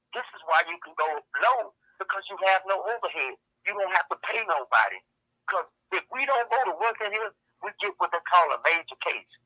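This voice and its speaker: A man projects a raised, high voice with lively intonation. The sound is dry and close, with no echo. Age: 60s. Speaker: prison inmate. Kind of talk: testimony. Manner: animated.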